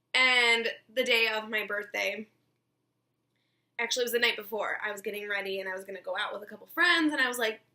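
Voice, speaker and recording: A woman with a bright, sharp tone and a fairly high pitch speaks very fast, with ordinary pitch variation, big swings in loudness and long, frequent pauses. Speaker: beauty vlogger. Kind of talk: tutorial.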